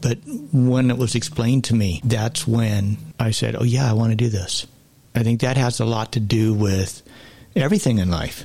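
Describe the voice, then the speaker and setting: A man talks at a moderate pace with ordinary pitch variation. His voice is somewhat breathy and very even in loudness. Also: medium pitch for a man. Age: 60s. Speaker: podcast guest sharing life story. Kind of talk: testimony.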